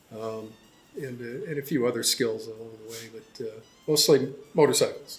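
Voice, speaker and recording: Man with an American accent at medium pitch, music in the background. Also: fairly even intonation, moderate pace, big swings in loudness. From US Pacific Northwest, Seattle. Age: 70s. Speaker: motorcycle mechanic. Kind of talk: interview. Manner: relaxed, with many fillers.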